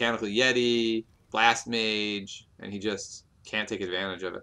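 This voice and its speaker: A man's fairly low voice with a bright, sharp tone. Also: fairly slow pace, big swings in loudness. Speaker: game commentator. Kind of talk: live commentary. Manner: animated.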